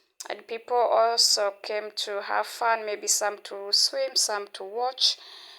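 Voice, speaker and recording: At a fairly high pitch, a woman speaks very slowly in a monotone, flat intonation. Her loudness swings widely. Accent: non-native. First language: not English. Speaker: vlogger. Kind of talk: casual vlog talk. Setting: outdoors at a beach.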